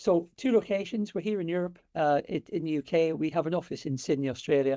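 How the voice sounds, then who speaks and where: With a British accent and lively intonation, a man speaks at a very fast pace. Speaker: sales director. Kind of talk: webinar presentation. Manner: hesitant, many fillers.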